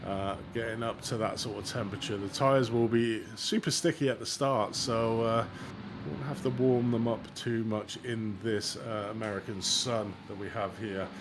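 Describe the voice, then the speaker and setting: Speaking in an English accent, a man keeps a medium pitch, a moderate pace and ordinary pitch variation. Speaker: sim racing commentator. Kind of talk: live commentary. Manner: animated.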